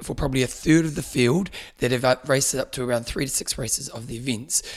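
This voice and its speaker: A man in a New Zealand accent at a very fast pace. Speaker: triathlon podcast host. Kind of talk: casual chat. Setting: studio.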